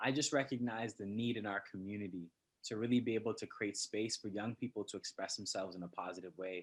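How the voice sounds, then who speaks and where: A man speaks with a Toronto accent. His pace is fairly quick. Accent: Canadian, Toronto. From Canada, Scarborough, Toronto. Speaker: poet. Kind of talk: interview.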